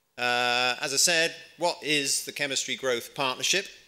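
A man talks at a fairly slow pace in a bright, sharp tone. The background is quiet. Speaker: conference speaker. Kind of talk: conference talk. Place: hall. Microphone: podium.

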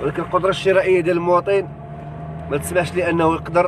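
The man's voice sounds dry with no echo, though noticeable background noise is present. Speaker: driver doing a live street report. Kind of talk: live commentary. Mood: critical, concerned about masks. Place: car. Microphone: phone near.

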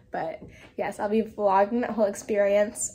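At a fairly quick pace, a woman talks in a dark, mellow tone. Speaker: vlogger. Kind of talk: casual vlog chat. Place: home room. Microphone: phone near.

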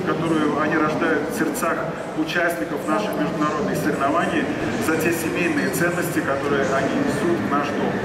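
Over loud background noise, the speech moves at a moderate pace with ordinary pitch variation. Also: man. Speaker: guest. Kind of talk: speech to audience. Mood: grateful, warm. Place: hall.

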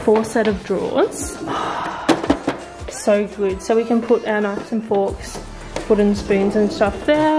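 A woman at a moderate pace with ordinary pitch variation, over clear music in the background. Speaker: vlogger. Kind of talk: casual vlog chat. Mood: excited, upbeat. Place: home room. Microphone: phone near.

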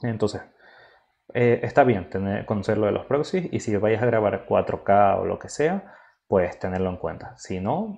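Speaking at a fairly slow pace, a man with a dark, mellow tone uses lively intonation. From Spain. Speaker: filmmaker and photographer; workshop instructor. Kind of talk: tutorial. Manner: halting. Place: home room.

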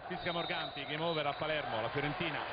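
Noticeable background noise sits behind a man talking at a very fast pace with a fairly high pitch. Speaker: football commentator. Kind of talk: live sports commentary, rapid play-by-play. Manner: fast, breathless, rattling off player names; excitable, rising to shouts on goals.

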